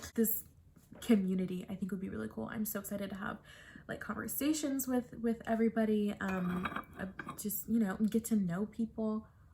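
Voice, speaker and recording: Intonation is kept fairly even. The speaker goes at a fairly quick pace. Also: woman, fairly high pitch for a woman. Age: 20s. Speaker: book vlogger. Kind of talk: casual vlog to camera. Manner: chatty, hesitant with many fillers.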